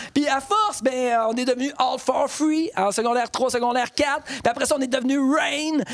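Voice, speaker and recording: A man speaks at a fairly quick pace. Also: dry, close sound with no echo. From Quebec, Bas-Saint-Laurent (Rimouski). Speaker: storyteller and monologuist. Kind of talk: casual interview. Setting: cultural centre recording.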